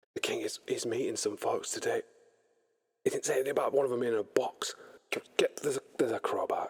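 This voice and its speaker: Putting on a gruff character voice at an extremely high pitch, a man rattles along at a very fast pace. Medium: actual play. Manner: gruff, coarse.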